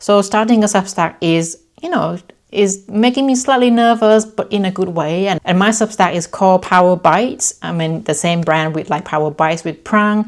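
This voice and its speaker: Speaking in a Thai accent, a woman keeps a medium pitch, ordinary pitch variation and a moderate pace. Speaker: lifestyle vlogger. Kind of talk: casual vlog talk to camera. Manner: energetic.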